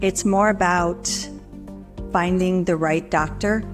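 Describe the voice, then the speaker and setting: Music plays in the background. A woman with an American accent speaks with fairly even intonation. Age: 60s. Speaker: heart surgery patient. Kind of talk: patient testimonial interview.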